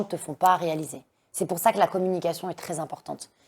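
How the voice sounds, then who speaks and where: Speaking at a moderate pace, a woman keeps her pitch fairly low. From France, Lyon suburbs. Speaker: dancer and activist against forced marriage. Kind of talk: interview testimony. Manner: loud.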